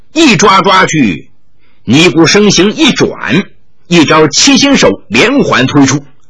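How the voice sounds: Text read in a natural reading voice.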